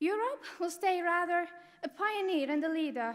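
A woman with an Arabic accent talks with ordinary pitch variation against a quiet background. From Syria. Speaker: refugee student; speaker. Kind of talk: prepared speech. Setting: stage with audience at academic ceremony. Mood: earnest, grateful. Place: hall. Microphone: podium.

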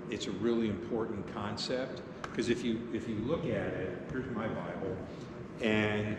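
A man speaking at a fairly slow pace, with audible room echo and noticeable background noise. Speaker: pastor teaching confirmation class. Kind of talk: lecture. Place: church.

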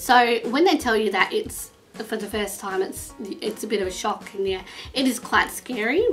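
A woman with an Australian accent at a fairly high pitch and a moderate pace, faint music behind her. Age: 20s. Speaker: vlogger. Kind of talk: casual talk to camera. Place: home room. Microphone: webcam.

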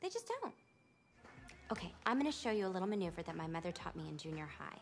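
Over faint music in the background, a woman talks at a very fast pace. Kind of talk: film dialogue and commencement speech. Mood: bright, upbeat, confident.

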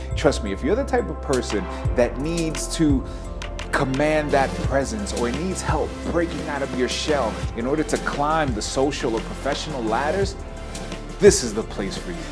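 Clear music plays in the background while the voice moves at a moderate pace. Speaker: video review host. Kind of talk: upbeat promotional business review to camera. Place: hall. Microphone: lapel.

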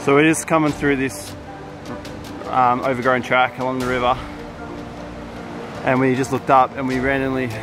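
Clear music plays behind a man who talks at a fairly quick pace in a monotone, flat intonation, the sound dry with no echo. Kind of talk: casual vlog chat. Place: forest. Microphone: phone near.

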